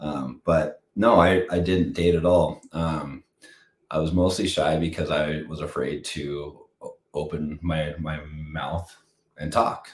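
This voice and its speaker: Very slowly, a man speaks in a very deep, low pitch, somewhat breathy, with fairly even intonation. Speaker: husband of the host, fitness enthusiast. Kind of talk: casual chat. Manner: halting, many repetitions and fillers.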